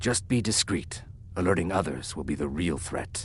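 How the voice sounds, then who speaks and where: A man puts on a character voice with a very deep, low pitch at a moderate pace. Clear background noise sits behind him. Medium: video game. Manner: calm, clipped.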